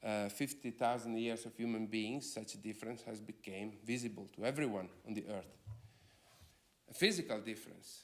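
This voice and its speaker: At a moderate pace, a man with a non-native accent talks at a medium pitch. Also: fairly even intonation. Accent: foreign. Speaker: philosopher. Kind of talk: lecture.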